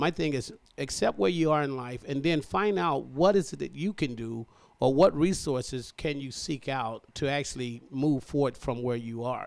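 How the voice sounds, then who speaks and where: This very clean recording has a silent background. A man talks in a normal speaking voice at medium pitch and a moderate pace, with ordinary pitch variation. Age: 60s. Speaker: military veteran. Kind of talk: interview. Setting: radio studio. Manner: earnest, motivational.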